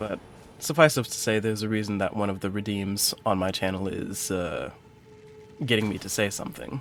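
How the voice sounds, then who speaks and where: Noticeable background noise sits under a man speaking fairly quickly in an American accent, his fairly low voice showing ordinary pitch variation. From US Midwest, Detroit, Michigan. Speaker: streamer, counseling student. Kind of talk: live gameplay stream chat. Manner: careful, precise diction.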